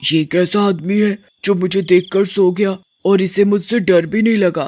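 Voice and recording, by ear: This raspy cartoonish character voice sits at a middle pitch and moves at a moderate pace.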